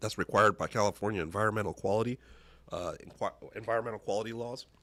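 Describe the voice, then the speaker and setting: A man's raspy, put-on character voice at medium pitch and a very fast pace. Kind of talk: formal, public meeting.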